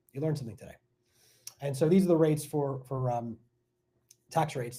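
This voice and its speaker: A man's medium-pitched voice with an American accent, dark and mellow in tone, somewhat breathy, very fast, with ordinary pitch variation. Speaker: tech sales coach and real estate investor. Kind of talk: live stream workshop. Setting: live stream. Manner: animated.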